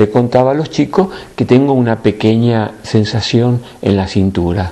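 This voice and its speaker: The man's pitch is medium, and he keeps to a moderate pace. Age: 60s. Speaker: spiritual teacher. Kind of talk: spiritual talk to a group. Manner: animated.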